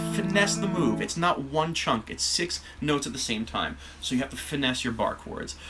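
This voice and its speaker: Noticeable background noise runs under the clip. A man speaks at a moderate pace. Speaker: guitar teacher. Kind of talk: casual live stream talk and guitar lesson.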